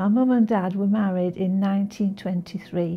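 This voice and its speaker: A woman speaks in a medium pitch with a dark, mellow tone and a somewhat breathy quality. Her intonation is monotone and flat. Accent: Manchester. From northern England, Manchester. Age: 80s+. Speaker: local resident. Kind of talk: oral history interview. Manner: halting, with repeated words.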